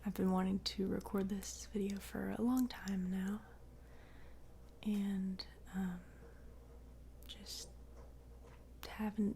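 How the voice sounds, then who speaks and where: A soft-spoken woman talks at a very slow pace. Her speech has long, frequent pauses. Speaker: ASMR creator. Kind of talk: soft-spoken ASMR reading and ramble. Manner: soft, quiet, slow.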